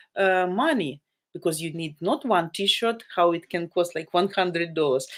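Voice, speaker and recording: A woman has a Ukrainian accent. She speaks at a moderate pace. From Ukraine, Sumy. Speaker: live-stream dating channel host. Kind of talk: live stream chat. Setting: video live stream. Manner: loud; animated.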